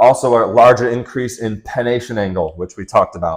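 A man's pitch shows ordinary variation. He keeps a moderate pace against a quiet background. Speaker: fitness coach. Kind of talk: lecture. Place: home room. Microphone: lapel.

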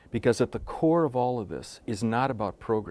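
In a very clean recording with a silent background, a man with an American accent speaks at a medium pitch and moderate pace, with vocal fry and ordinary pitch variation. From United States. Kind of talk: web conference presentation. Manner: animated.

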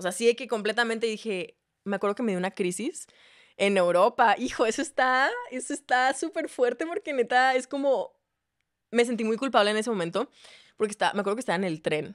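In a quiet setting, a woman with a fairly high voice talks at a fairly quick pace with lively intonation. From Mexico, Ciudad Juárez; Mexico. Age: 20s. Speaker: singer-songwriter and content creator; content creator. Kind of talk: casual chat. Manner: animated. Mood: animated gossip storytelling. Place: studio. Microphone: studio mic.

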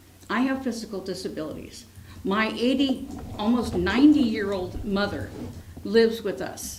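Amid noticeable background noise and audible room echo, a woman talks at a moderate pace, her pitch fairly high with ordinary variation. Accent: American. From San Francisco, California. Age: 60s. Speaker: school teacher speaking at public comment. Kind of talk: public comment at council meeting. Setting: city council meeting.

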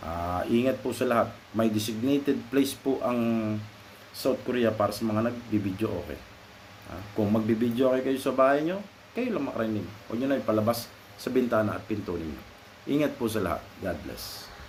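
A man of medium pitch at a fairly quick pace, ordinary pitch variation, audible room echo and noticeable background noise. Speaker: vlogger. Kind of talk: casual advice monologue. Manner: halting.

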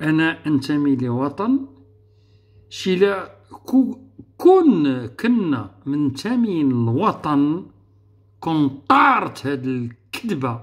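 A man speaks at a very slow pace with a fairly high pitch and very wide pitch swings. The background is quiet. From Morocco. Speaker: political youtuber. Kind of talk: political monologue. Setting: online live room. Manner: animated. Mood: argumentative, indignant. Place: home room. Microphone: webcam.

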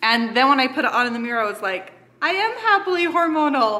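Over light background noise, the speaker moves at a moderate pace with very wide pitch swings. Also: woman. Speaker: family vlogger. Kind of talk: casual vlog chat with sponsor mention. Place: kitchen. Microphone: phone near.

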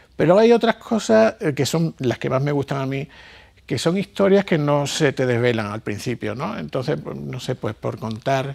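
Moderate-paced speech from a man, quiet background behind him. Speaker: interviewee. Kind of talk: interview answer. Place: hall. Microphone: lapel.

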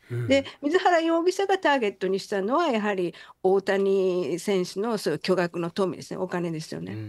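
Speaking at a moderate pace, a woman's medium-pitched voice swings very widely in pitch. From Hiroshima, Japan. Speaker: psychiatrist and author. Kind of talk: radio interview.

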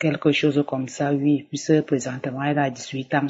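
A woman's very deep, low voice in a flat monotone. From Cameroon. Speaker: church member giving testimony. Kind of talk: testimony.

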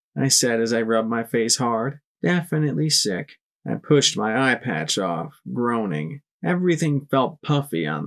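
Lively intonation marks an unforced reading voice. Behind it, the background is quiet.

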